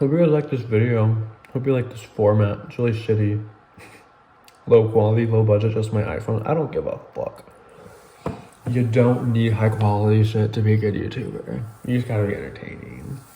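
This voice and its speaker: Mumbling at a fairly quick pace in a medium pitch, a man speaks with fairly even intonation, big swings in loudness and long, frequent pauses, over noticeable background noise and audible room echo. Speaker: YouTuber. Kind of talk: casual mukbang vlog. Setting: at home, late night. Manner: fast.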